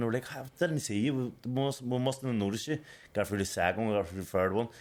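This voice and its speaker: Here a man speaks in a Belfast accent. His pitch varies in an ordinary way. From Northern Ireland, Belfast. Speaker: boxer and podcast co-host. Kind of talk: casual chat. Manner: animated.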